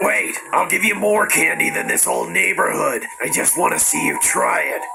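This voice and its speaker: A man speaks at a moderate pace in a put-on character voice over loud background noise. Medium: voice reel. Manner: wheedling then menacing.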